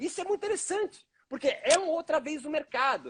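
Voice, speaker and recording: With a dry, close sound and no echo, a man talks. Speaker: yoga professor. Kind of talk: live stream interview. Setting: online live stream.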